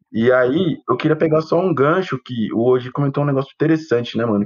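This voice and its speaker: A man with a normal speaking voice talks at a moderate pace. His intonation is lively. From São Paulo, Brazil. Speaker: photographer, co-host. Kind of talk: casual chat.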